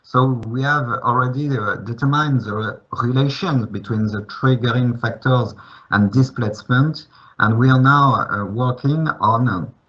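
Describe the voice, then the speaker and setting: Medium pitch, fairly even intonation and a moderate pace from a man. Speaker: geoscience researcher. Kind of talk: conference presentation. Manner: hesitant, many fillers.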